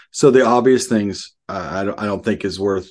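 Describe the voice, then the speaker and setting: In a Southern US accent, a man talks at a moderate pace and a fairly low pitch with ordinary pitch variation over a quiet background. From Arkansas, US South. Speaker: pastor. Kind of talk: casual interview.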